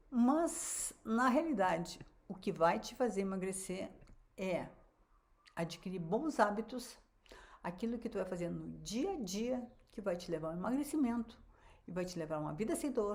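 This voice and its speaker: A woman speaks at a moderate pace in a somewhat breathy voice of medium pitch. Her intonation is lively, broken by long, frequent pauses. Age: 70s. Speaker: physician and weight-loss coach. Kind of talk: online live class. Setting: livestream. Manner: casual, conversational.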